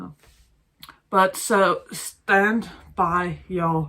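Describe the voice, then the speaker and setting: A woman speaks with a bright, sharp tone. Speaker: vlogger. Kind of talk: casual vlog monologue. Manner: halting, searching for words.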